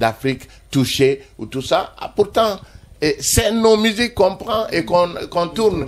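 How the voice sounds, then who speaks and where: Over noticeable background noise, a man speaks at a fairly slow pace with lively intonation. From Mali, Ségou. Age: 60s. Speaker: musician. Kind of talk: interview.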